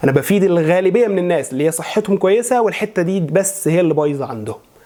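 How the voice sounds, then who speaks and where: At a fairly quick pace, a man with an Egyptian accent talks at a high pitch with ordinary pitch variation, over noticeable background noise. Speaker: voice and maqam coach; religious chanter. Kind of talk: instructional talk to camera.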